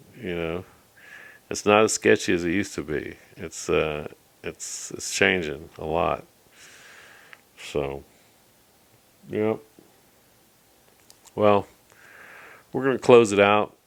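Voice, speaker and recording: A man with a very deep, low pitch speaks at a very slow pace with ordinary pitch variation, big swings in loudness, and long, frequent pauses. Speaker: video blogger. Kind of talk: casual monologue.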